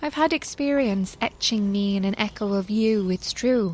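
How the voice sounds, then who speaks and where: Speaking at a fairly slow pace, a woman has an unremarkable speaking voice at a medium pitch. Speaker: narrator reading aloud. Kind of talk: poetry reading, spoken word. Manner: measured, lyrical, expressive.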